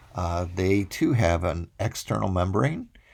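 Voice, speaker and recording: With lively intonation and vocal fry, a man speaks at a very deep, low pitch. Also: very clean recording, silent background. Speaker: college microbiology instructor. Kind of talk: recorded lecture. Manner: hesitant fillers (uh, um).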